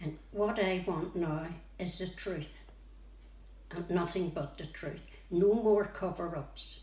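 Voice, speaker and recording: Speaking very slowly in a Northern Irish accent, the voice pauses long and often, with fairly even intonation. Noticeable background noise and audible room echo fill the recording. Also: woman, fairly low pitch for a woman. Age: 80s+. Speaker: bereaved relative of a conflict victim. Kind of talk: testimony.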